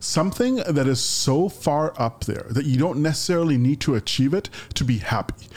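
With lively intonation, a man talks at a fairly high pitch. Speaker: podcast co-host. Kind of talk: casual chat. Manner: loud; halting, repeats words.

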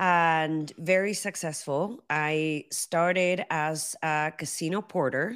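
Recorded very cleanly with a silent background, a woman talks in a very deep, low voice with fairly even intonation. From Argentina. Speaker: hospitality consultant and podcast host. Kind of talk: interview.

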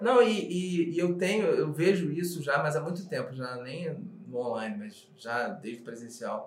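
A man speaks at a fairly high pitch and a fairly slow pace, with lively intonation. Noticeable background noise and audible room echo fill the recording. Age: 40s. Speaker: actor and screenwriting teacher. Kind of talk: casual interview chat.

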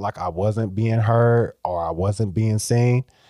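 A man with an American accent, dark and mellow in tone, fairly even in intonation, in a very clean recording with a silent background and a dry, close sound free of echo. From Iowa, Waterloo. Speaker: after-school program director. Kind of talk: casual chat.

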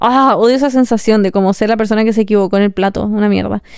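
A woman with a Chilean accent speaks at a very fast pace in an animated tone and a fairly high pitch. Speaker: podcaster. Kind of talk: casual monologue.

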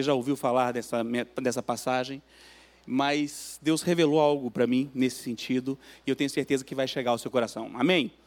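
This man has an unremarkable speaking voice, medium in pitch, with fairly even intonation at a moderate pace. The recording is very clean, with a silent background. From Minas Gerais, Belo Horizonte. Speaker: guest preacher, church guitarist. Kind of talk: sermon. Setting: church.

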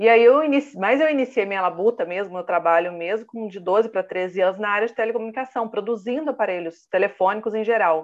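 Talking at a very fast pace with hardly any pauses, a woman keeps a medium pitch and ordinary pitch variation. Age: 30s. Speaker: professional condominium manager and consultant. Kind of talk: interview.

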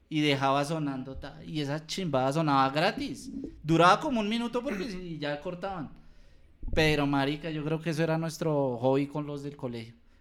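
In an ordinary speaking voice, a man talks at a moderate speed with ordinary pitch variation. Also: fairly high pitch for a man. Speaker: podcast co-host. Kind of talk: casual chat. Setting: handheld microphone.

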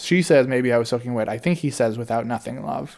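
A man uses an unremarkable speaking voice, talking fairly quickly with ordinary pitch variation. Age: 20s. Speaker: podcast co-host, music reviewer. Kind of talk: casual chat.

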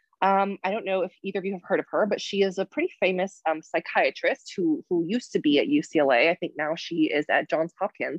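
A woman with an American accent uses a plain, everyday voice at medium pitch, moving at a moderate pace with lively intonation. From Michigan, US Midwest. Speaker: nursing professor and psychiatric nurse. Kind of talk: interview.

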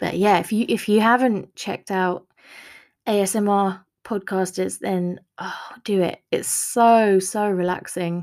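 A woman has an unremarkable speaking voice at medium pitch with fairly even intonation. She talks at a fairly slow pace, and the recording is very clean with a silent background. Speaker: author podcaster. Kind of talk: solo podcast update chat. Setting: home recording. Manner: chatty, casual, warm.

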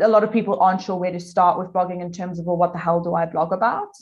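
A woman speaks very fast in a South African accent. Her voice is somewhat breathy, with monotone, flat intonation. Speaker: content marketing agency owner. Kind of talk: casual interview.

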